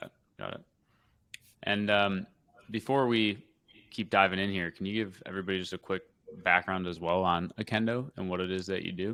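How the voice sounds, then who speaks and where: A man speaks at a fairly quick pace with a very deep, low pitch, a bright, sharp tone and fairly even intonation, leaving long, frequent pauses on a very clean recording with a silent background. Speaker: podcast host and agency founder. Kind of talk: podcast interview.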